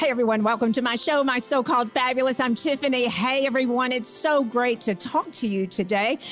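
A woman is speaking, and faint music can be heard in the background. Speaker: podcast host. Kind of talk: podcast intro to live audience. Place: shop. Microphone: studio mic.

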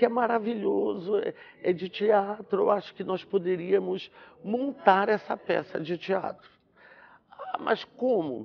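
This man speaks in a high voice with ordinary pitch variation. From Belém, Pará, Brazil; Pará, Brazil. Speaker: actor and theatre director; actor. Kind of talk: interview. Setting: theatre. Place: stage. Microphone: lapel.

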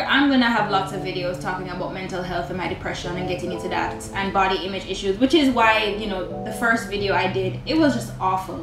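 Clear background music under a woman talking at a fairly quick pace. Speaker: vlogger. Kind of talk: casual vlog chat. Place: home room.

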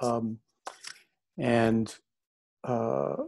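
Fairly even intonation marks this man's speech, delivered with an American accent. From Oregon, US. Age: old. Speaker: screenwriter and filmmaker. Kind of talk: panel discussion. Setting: video call.

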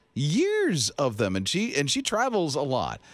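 A man speaks in an animated tone at a fairly slow pace. The sound is dry with no echo against a quiet background. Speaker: radio host. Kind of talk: radio show banter. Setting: studio. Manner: chatty, animated, joking. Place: studio. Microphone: studio mic.

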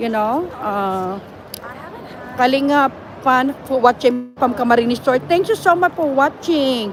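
Noticeable background noise surrounds a woman with a high pitch. She speaks at a very slow pace with lively intonation. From Philippines. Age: 50s. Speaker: vlogger. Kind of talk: casual live vlog. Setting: walking in a mall.

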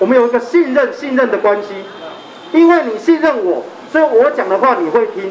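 Light background noise sits behind a man with an extremely high pitch. He talks at a fairly quick pace with lively intonation. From Taiwan (grew up partly in central Taiwan). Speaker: referendum campaigner; speaker. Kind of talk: political campaign speech. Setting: outdoor street rally. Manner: animated. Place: street. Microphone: handheld.

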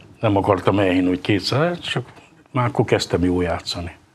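A somewhat breathy man at a moderate pace, lively in intonation, over light background noise. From Hungary. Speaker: table tennis player; guest. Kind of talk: casual interview. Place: studio. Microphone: lapel.

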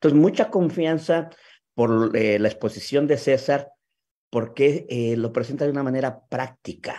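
With vocal fry and a dark, mellow tone, a man speaks at a fairly slow pace. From Mexico City. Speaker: sales leader hosting a video talk. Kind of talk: live video talk. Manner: halting. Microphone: video call.

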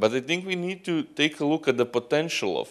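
Over a quiet background, a man with a Croatian accent speaks at a moderate pace. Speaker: student union representative; conference presenter. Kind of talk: conference talk. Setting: conference stage with audience. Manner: halting. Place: hall. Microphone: handheld.

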